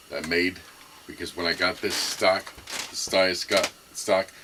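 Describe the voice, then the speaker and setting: At a fairly slow pace, a man with a very deep, low voice speaks in a monotone, flat way over noticeable background noise. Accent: American. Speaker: gun enthusiast video maker. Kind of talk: casual show-and-tell. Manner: halting, many fillers.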